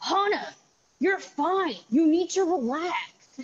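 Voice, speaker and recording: Very slowly, a woman performs a put-on character voice at an extremely high pitch. Her intonation is lively. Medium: stage play. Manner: dismissive.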